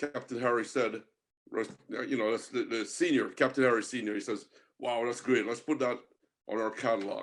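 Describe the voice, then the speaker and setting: With a Jamaican accent, a man speaks at a medium pitch and a moderate pace, keeping fairly even intonation and leaving long, frequent pauses. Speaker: marine artist and angler. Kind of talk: podcast interview. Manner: casual, chatty with fillers.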